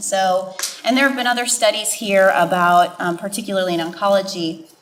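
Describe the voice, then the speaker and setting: Against noticeable background noise, a woman with an American accent talks at a medium pitch with lively intonation. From Wisconsin. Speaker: healthcare provider on a panel. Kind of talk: panel discussion.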